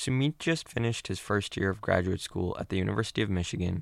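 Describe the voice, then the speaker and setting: An unremarkable speaking voice comes from a man with a fairly low pitch, talking fairly quickly in a very clean recording over a silent background. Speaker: podcast host. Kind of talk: scripted narration. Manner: formal.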